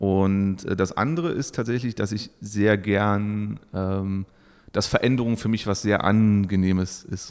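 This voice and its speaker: This man speaks at a very slow pace in a fairly low pitch, with ordinary pitch variation. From eastern Germany, Saxony-Anhalt. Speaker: employer branding consultant. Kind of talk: podcast interview.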